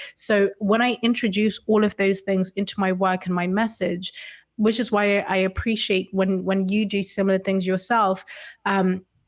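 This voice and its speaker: A woman speaks at a medium pitch and moderate pace with monotone, flat intonation and very even loudness. The recording is very clean, with a silent background. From Zimbabwe. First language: Shona. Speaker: consultant, writer and coach. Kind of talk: casual interview conversation.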